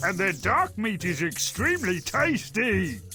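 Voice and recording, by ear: Over faint background music, a man uses a put-on character voice that is high-pitched, bright and sharp, moving fairly slowly with big pitch swings.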